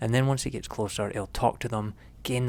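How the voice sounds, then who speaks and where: A man is soft-spoken. His intonation stays fairly even. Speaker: photography vlogger. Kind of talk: vlog narration. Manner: halting.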